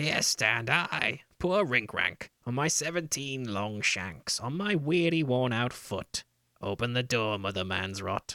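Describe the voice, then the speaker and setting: A man with a medium pitch talks at a fairly slow pace, his pitch swinging very widely. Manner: whining, pleading.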